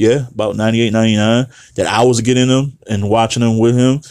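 A man's fairly quick delivery at a medium pitch, an ordinary speaking voice. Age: 30s. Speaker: battle rap podcast host. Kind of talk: casual solo commentary.

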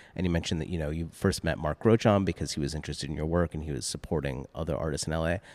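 On a very clean recording with a silent background and a dry, close sound with no echo, a man with an American accent and a very deep, low pitch rushes at a very fast pace with hardly any pauses, vocal fry and ordinary pitch variation. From US Northeast, Boston area. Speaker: art podcast host. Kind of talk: casual interview. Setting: gallery, in-person.

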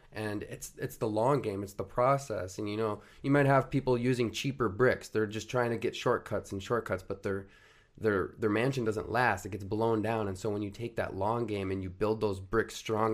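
Speaking at a moderate pace, a man has a fairly low pitch and an American accent. He has an ordinary speaking voice. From Minnesota. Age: 20s. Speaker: marketing agency founder. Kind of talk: casual chat.

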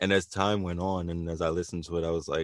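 Very deep and low in pitch, a man with an American accent talks in a flat monotone at a fairly quick pace, the sound dry and close with no echo over a quiet background. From New Jersey / Philadelphia area. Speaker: rapper. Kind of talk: casual chat.

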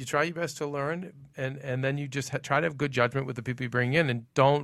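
In a very clean recording with a silent background, a man speaks with a Boston accent. He is medium in pitch and fairly quick, with fairly even intonation. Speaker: TV recap show host. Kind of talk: casual panel discussion. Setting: studio.

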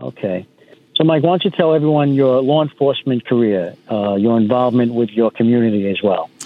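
A man with an American accent talks at a fairly quick pace, medium in pitch. It is an ordinary speaking voice with lively intonation. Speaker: podcast co-host, retired police detective. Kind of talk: interview. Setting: remote call.

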